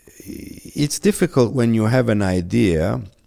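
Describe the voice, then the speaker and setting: Over a very clean recording with a silent background, a man in an unremarkable speaking voice talks at a fairly slow pace with lively intonation. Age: 50s. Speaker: perfumer. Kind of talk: interview.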